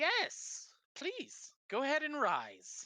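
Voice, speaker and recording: A put-on character voice is used here. Its pitch is high. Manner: jolly.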